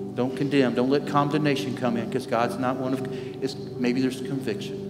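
A man delivers his words at a moderate pace while clear music in the background plays. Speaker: lead pastor. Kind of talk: sermon. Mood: warm, earnest. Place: church.

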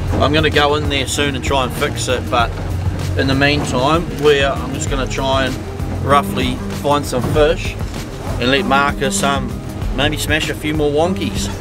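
Clear music plays behind a man who speaks at a moderate pace with long, frequent pauses, in a dry sound with no echo. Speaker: fishing vlogger. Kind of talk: casual vlog chat. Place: boat. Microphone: phone near.

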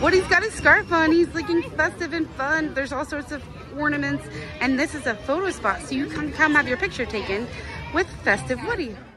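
Clear music plays in the background. A woman talks at a fairly quick pace in a raised, projected voice, with a dry sound and no echo. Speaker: vlogger host. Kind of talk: casual vlog chat. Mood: upbeat, cheerful. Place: street. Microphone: phone near.

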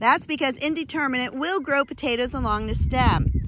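A woman's voice comes through dry with no echo, over noticeable background noise. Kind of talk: tutorial. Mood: firm, myth-busting. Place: farm machine. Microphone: phone near.

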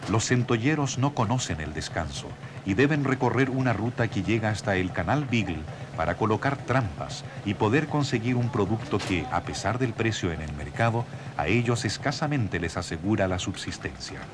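A man with a solemn tone speaks at a moderate pace with lively intonation. Noticeable background noise runs beneath him. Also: medium pitch for a man. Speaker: documentary narrator. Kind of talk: nature/history documentary narration, scripted. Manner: measured, solemn, steady, formal.

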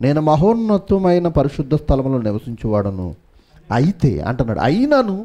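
Dark, mellow male voice at a fairly high pitch, with very wide pitch swings. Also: quiet background. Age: 30s. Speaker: pastor. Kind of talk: sermon. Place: church. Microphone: headset.

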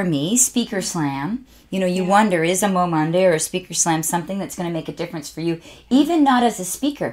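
A woman with a Canadian accent speaks very fast in an animated tone with lively intonation. The background is quiet. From Canada. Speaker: motivational speaker and author. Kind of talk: casual interview chat. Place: studio.

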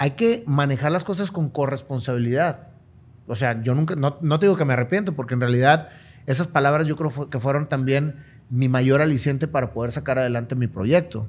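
A man talks at a fairly quick pace with fairly high pitch. His voice is somewhat breathy, with ordinary pitch variation. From Monterrey, northern Mexico; Mexico. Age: 50s. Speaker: businessman and motivational speaker; motivational speaker. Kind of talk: interview conversation. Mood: reflective, earnest. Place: home room. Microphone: studio mic.

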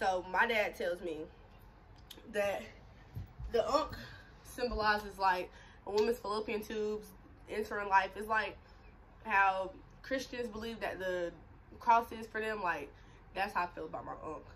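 Over light background noise, a woman speaks at a moderate pace with ordinary pitch variation, big swings in loudness, and long, frequent pauses. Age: 20s. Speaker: YouTuber. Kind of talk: casual vlog chat. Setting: at home on camera. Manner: animated. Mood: candid, animated storytelling. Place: home room. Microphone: phone near.

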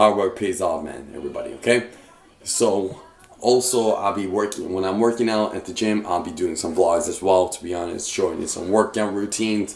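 A fairly quick pace, ordinary pitch variation, and audible room echo. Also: man, fairly low pitch for a man. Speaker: fitness vlogger. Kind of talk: casual vlog chat. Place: kitchen. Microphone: phone near.

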